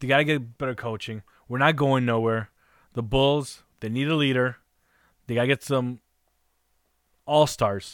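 A medium-pitched man at a moderate pace, with long, frequent pauses and fairly even intonation. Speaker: guest co-host, sports fan. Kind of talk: casual sports talk.

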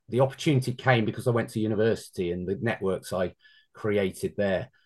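Against a quiet background, a speaker with a slight London accent talks at a moderate pace with ordinary pitch variation. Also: man. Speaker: former amateur football goalkeeper. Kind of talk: interview.

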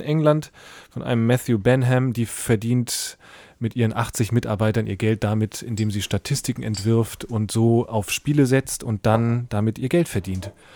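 Speech from a man, very cleanly recorded against a silent background. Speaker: podcast co-host. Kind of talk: casual chat. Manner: hesitant, many filler sounds.

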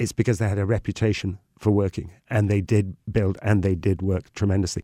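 A man with a north Welsh accent talks at a very fast pace in a dark, mellow tone. The recording is very clean, dry and close, with a silent background and no echo. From Wales. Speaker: tour guide. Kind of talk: casual chat.

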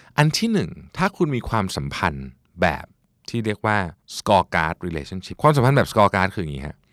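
On a very clean recording with a silent background, a man speaks at a fairly low pitch with very wide pitch swings and big swings in loudness, the sound dry and close with no echo. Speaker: podcast host. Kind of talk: self-help talk.

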